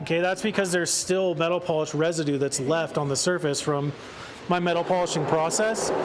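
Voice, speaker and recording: A man with a Northern Californian accent talks fairly quickly at a high pitch, with fairly even intonation and very even loudness. Noticeable background noise and audible room echo surround him. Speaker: car detailing presenter. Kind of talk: live product demonstration. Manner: casual, conversational.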